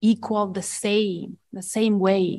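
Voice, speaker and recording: At a very slow pace, a woman speaks with an Estonian accent. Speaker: education professor. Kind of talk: panel discussion. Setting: conference room with audience.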